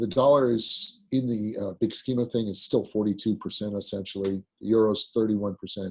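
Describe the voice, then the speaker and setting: A man speaks in an ordinary speaking voice with fairly low pitch. His pace is fairly quick, with hardly any pauses. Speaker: currency markets executive. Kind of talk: webinar presentation.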